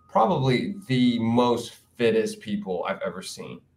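Using an unremarkable speaking voice, a man with an American accent speaks at a fairly slow pace and medium pitch with lively intonation. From Queens, New York City. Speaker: dancer and event producer. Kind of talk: casual interview.

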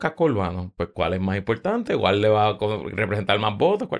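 The background is quiet as a man speaks at a fairly low pitch with ordinary pitch variation. He has an unremarkable speaking voice. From Puerto Rico, San Juan. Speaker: podcaster. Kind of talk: casual chat.

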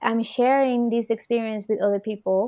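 This woman talks in a Spanish accent at a fairly high pitch. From Puerto Rico. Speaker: podcast host and psychotherapist. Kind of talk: interview conversation.

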